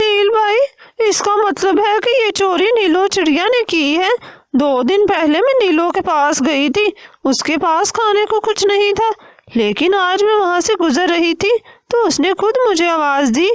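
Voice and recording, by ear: Here a woman does a cartoonish character voice. It is extremely high-pitched and moves at a moderate pace.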